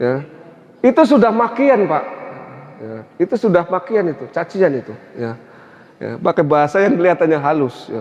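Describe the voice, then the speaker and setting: Over noticeable background noise, a man talks at a moderate pace and high pitch, with long, frequent pauses, big swings in loudness and very wide pitch swings. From Central Java (Tegal). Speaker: Islamic preacher. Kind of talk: religious lecture. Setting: mosque.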